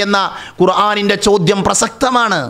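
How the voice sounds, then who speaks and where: A man uses a raised, projected voice at a high pitch with fairly even intonation. The background is quiet. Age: 30s. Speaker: Islamic religious teacher. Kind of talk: religious lecture. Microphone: studio mic.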